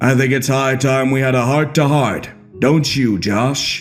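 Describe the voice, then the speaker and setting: Against clear background music, a man uses a put-on character voice at medium pitch and a moderate pace. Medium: read story. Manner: measured, knowing.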